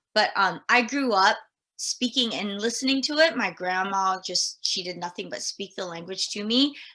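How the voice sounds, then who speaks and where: With an American accent, a woman speaks at a moderate pace in a bright, sharp tone, her fairly high pitch showing ordinary variation. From Guam, then Northern California from age ten. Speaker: elementary school teacher. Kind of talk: casual interview. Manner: hesitant, many fillers.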